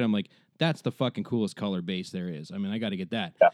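Very fast speech comes through a dry, close sound with no echo over a quiet background. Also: man. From Ontario, Canada. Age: 30s. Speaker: podcast host and musician. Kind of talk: scripted narration; casual chat.

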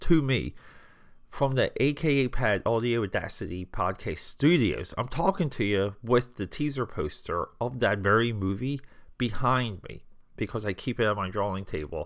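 With lively intonation and an animated tone, a man of medium pitch talks at a moderate pace with vocal fry on a very clean recording with a silent background. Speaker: podcast host. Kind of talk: casual solo podcast monologue. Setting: home studio. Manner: stuttering a little.

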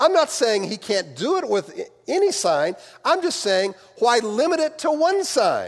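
At a fairly slow pace, a man with an American accent speaks in an extremely high voice with very wide pitch swings. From US Midwest. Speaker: pastor. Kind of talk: sermon. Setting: church.

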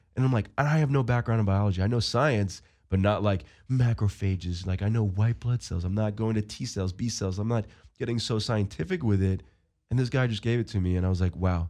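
With an American accent, a man speaks in a normal speaking voice at fairly low pitch and a fairly quick pace, with ordinary pitch variation over a quiet background. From Long Island, New York. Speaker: football player. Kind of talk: interview.

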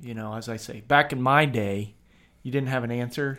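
Speaking at a fairly quick pace with a Midwestern American accent, a man keeps his medium-pitched voice fairly even in intonation. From Kent, Ohio, US Midwest. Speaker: physical therapist assistant and podcast co-host. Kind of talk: casual chat.

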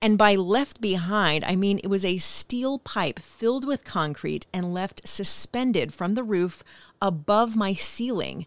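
The speaker uses a normal speaking voice at a fairly slow pace, with ordinary pitch variation. The recording is very clean, with a silent background and a dry, close sound with no echo. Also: woman, medium pitch for a woman. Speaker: podcast host and voiceover artist. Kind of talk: reading aloud a personal essay.

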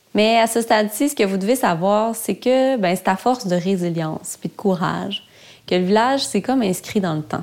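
With a Quebec accent, a woman talks at a moderate pace and medium pitch with lively intonation. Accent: Québécois French. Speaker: podcast host, media founder. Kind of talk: documentary narration. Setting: outdoors.

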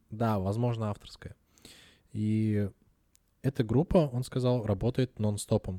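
A man's fairly low voice with a dark, mellow tone, fairly even intonation, and long, frequent pauses, in a dry, close sound with no echo and a very clean recording with a silent background. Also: fairly slow pace. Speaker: podcast co-host. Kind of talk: casual chat.

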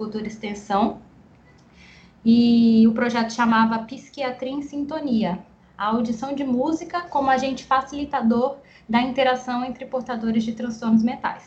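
A somewhat breathy voice at a moderate pace. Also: woman. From Guarulhos, São Paulo, Brazil. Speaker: speech therapist and researcher. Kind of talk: interview.

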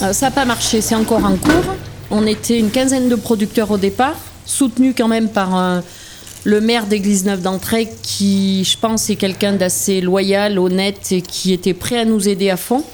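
Fairly even intonation at a moderate pace, with very even loudness and noticeable background noise. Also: woman, medium pitch for a woman. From France, Auvergne (Puy-de-Dôme). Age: 50s. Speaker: dairy farmer. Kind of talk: interview testimony. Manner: hesitant, with frequent fillers.

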